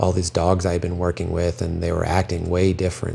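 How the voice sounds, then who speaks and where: Noticeable background noise sits behind a man with a very deep, low pitch. He talks at a fairly quick pace in a monotone, flat intonation. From Belgium. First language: French. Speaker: dog trainer. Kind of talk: personal testimony.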